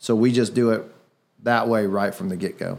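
An ordinary speaking voice moves at a moderate pace with ordinary pitch variation on a very clean recording with a silent background. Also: man. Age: 30s. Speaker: real estate investor and podcast host. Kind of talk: casual chat. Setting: studio.

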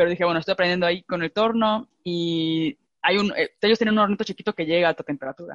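Sound is dry and close, with no echo. A woman with a Mexican accent and fairly low pitch speaks at a very fast pace. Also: ordinary pitch variation. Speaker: podcast host, ceramicist. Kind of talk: casual chat. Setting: video call.

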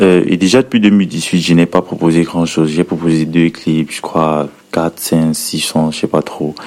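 This man speaks at a fairly slow pace. His pitch is very deep and low. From Cameroon, Edea. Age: 20s. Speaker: rapper. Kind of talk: recorded interview answers.

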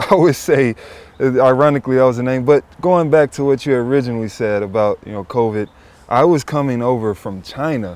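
Over noticeable background noise, a man with an American accent speaks at a fairly quick pace and medium pitch. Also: ordinary pitch variation. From US South, Memphis. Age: 20s. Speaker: professional athlete and podcast co-host. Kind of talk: casual chat. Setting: in person, Pacific Palisades.

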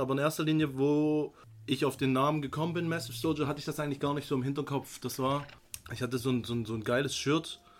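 Talking at a very fast pace, a man with a fairly high pitch keeps a flat, monotone delivery. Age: 30s. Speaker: fitness brand founder. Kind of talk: casual chat.

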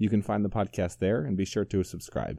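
A man with a fairly low pitch and a dark, mellow tone over a quiet background. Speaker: podcast host. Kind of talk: interview, podcast intro and outro.

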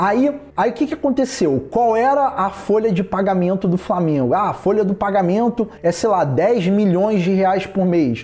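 Lively intonation at a moderate pace over noticeable background noise. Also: man. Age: 30s. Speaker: podcast host, distance-education worker. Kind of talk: casual solo podcast monologue.

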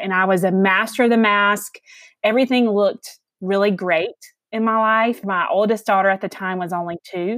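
A woman's medium-pitched voice in a Southern US accent, with a dry, close sound and no echo. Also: very clean recording, silent background. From Alabama, US South. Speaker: mental health advocate and author. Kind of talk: casual interview chat.

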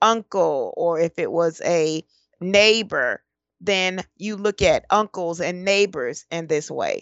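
It is a plain, everyday voice with an American accent. The intonation stays fairly even. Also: woman. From Detroit, Michigan, US. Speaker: personal change coach. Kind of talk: interview.

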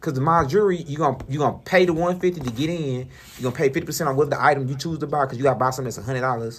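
Somewhat breathy, the voice moves at a very fast pace. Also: man, fairly high pitch for a man, ordinary pitch variation. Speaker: radio show co-host. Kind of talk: casual chat.

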